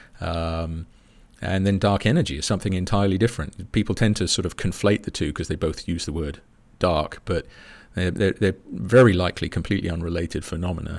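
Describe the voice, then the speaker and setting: The recording is very clean with a silent background. A man with a British accent speaks in a very deep, low voice. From England. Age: 50s. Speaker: space scientist. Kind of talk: casual chat.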